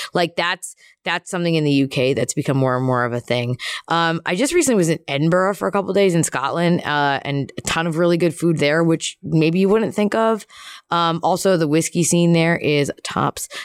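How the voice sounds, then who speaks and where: An unremarkable speaking voice from a fairly low-pitched woman with an American accent, ordinary pitch variation, very even loudness and a moderate pace, in a dry, close sound with no echo. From US Northeast, Philadelphia. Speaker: professional wrestler. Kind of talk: casual chat. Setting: in a room at a wrestling show.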